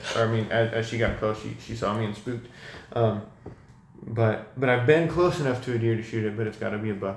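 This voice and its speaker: Heard with audible room echo, a man with an American accent talks at a fairly quick pace, his medium pitch showing ordinary variation. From California, Sacramento. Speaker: university student. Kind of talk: casual chat.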